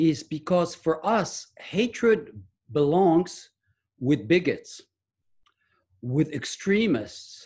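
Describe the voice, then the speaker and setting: A man with a French accent and vocal fry speaks at a fairly high pitch, with very wide pitch swings. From France. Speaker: medical research scientist and author. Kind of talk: interview. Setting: video call.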